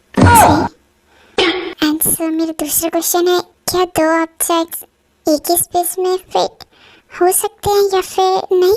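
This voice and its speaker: A woman performs a put-on character voice at an extremely high pitch, with monotone, flat intonation. The fairly slow delivery has a dry, close sound with no echo. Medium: solo performance. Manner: playful, teasing.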